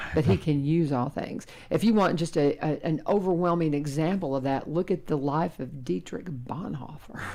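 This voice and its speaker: A woman with a Kentucky accent, a very deep, low pitch, and a moderate pace. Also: ordinary pitch variation. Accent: US South, Kentucky. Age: 60s. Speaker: radio host and teacher. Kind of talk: casual chat.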